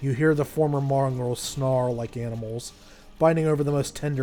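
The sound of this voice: An unforced reading voice carries the whole clip.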